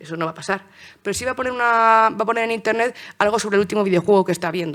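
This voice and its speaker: Very clean recording of a woman, silent background. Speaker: political scientist and journalist giving a talk. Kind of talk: conference talk. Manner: fast; hesitant, many fillers and restarts.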